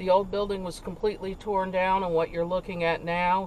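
The speech moves at a fairly quick pace. The sound is dry with no echo, over light background noise. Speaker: channel host. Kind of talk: casual vlog commentary. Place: car.

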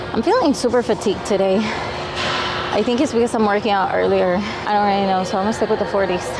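Music plays in the background as a woman speaks at a fairly quick pace. The sound is dry, with no echo. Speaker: fitness vlogger. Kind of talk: casual vlog chat. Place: gym. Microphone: lapel.

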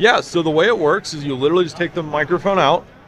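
The speech runs at a fairly quick pace with ordinary pitch variation, the sound dry with no echo over light background noise. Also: man. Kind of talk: interview answer. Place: hall. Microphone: handheld.

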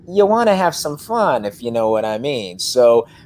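A man talks at a moderate pace with big pitch swings. His tone is slightly mellow.

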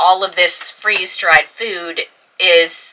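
A woman's voice against a quiet background. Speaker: sailing vlogger. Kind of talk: casual vlog chat. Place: boat. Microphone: camera far.

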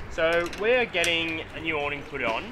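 Pitch moves in an ordinary way as this man talks through noticeable noise behind him. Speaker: travel vlogger. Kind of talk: casual vlog chat. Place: workshop.

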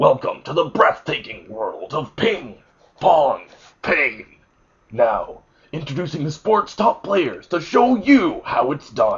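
A man talks at a fairly slow pace with a high pitch. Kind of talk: mock sports promo narration. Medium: comedy sketch.

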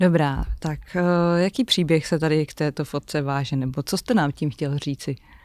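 Against a quiet background, a woman with a very deep, low pitch talks at a moderate pace in a dry sound with no echo. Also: ordinary pitch variation. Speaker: podcast host, business consultant. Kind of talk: interview. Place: studio. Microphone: studio mic.

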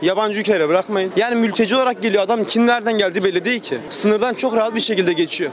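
Speaking at a very fast pace with hardly any pauses, a man uses an animated tone, a high pitch and ordinary pitch variation, in a dry sound with no echo over light background noise. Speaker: earthquake survivor. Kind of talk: heated debate. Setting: outdoors. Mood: concerned, critical. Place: street. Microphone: handheld.

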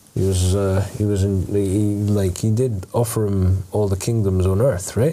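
A man's low-pitched voice with a dark, mellow tone, fairly even intonation and a moderate pace, with audible room echo

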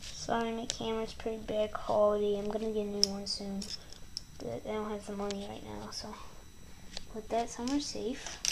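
A woman speaks at a moderate pace with long, frequent pauses over loud background noise. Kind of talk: tutorial. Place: home room. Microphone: phone near.

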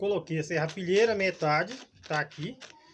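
You can hear a man talking. There is light noise in the background. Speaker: gardening channel host. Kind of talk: tutorial. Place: garden.

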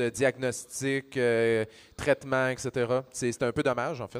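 With a Quebec accent, a man speaks at a very slow pace. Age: 40s. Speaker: pharmacist and science communicator; panelist. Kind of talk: panel discussion. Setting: stage with audience. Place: stage. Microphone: handheld.

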